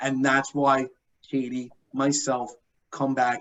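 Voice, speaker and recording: A man with a New York accent and a fairly high pitch. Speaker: benefits account manager presenter. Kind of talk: conference presentation.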